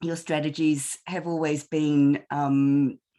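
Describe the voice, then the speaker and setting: A woman speaks with a New Zealand accent. She goes at a very slow pace against a quiet background. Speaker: panel moderator. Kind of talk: webinar panel discussion. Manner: halting, many repetitions.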